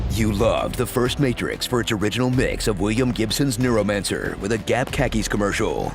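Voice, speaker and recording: Noticeable background noise sits behind a man of medium pitch. He talks at a fairly quick pace with hardly any pauses, fairly even intonation and very even loudness. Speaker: voice actor. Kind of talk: movie trailer parody narration.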